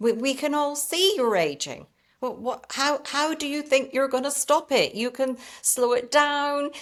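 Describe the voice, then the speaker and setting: A woman speaks in a British accent with a high voice. Her pace is fairly slow. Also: ordinary pitch variation. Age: 60s. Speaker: lifestyle and skincare content creator. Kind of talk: interview conversation.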